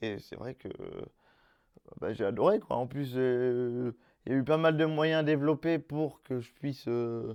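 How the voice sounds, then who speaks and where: A man has a dark, mellow tone at a medium pitch. He speaks at a fairly slow pace. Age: 20s. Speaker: job seeker, wheelchair user. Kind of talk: testimony. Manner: casual, hesitant.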